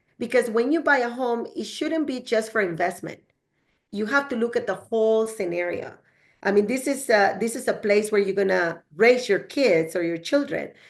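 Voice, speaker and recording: A woman with a strong Spanish accent speaks at a moderate pace and a fairly high pitch, her intonation lively against a quiet background. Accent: heavy Spanish. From El Salvador. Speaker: real estate agent. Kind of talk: podcast interview. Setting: studio.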